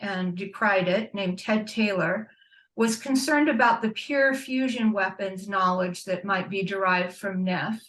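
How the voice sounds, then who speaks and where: Woman with a normal speaking voice, medium pitch, ordinary pitch variation, and a fairly slow pace. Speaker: panelist, nuclear weapons watchdog. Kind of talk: panel presentation. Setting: video call.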